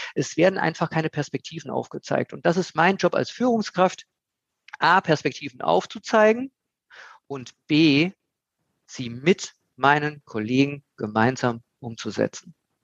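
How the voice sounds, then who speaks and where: Dry and close with no echo, a man's fairly high voice moves at a fairly slow pace with long, frequent pauses. His pitch swings very widely. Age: 50s. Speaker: recruitment consultant. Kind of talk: casual interview.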